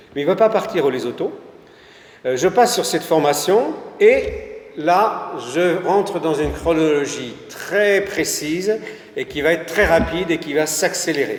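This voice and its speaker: A man talks at a fairly slow pace, leaving long, frequent pauses. His high pitch varies in an ordinary way, and there is noticeable background noise. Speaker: local history speaker. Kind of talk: public talk. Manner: halting.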